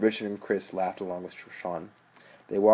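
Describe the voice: Fairly even intonation throughout plain reading aloud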